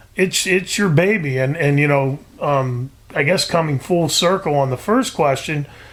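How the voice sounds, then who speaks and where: A man speaks in an unremarkable speaking voice at a fairly high pitch. His pace is moderate, with ordinary pitch variation. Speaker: trapper and outdoor TV producer. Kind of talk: podcast interview answer.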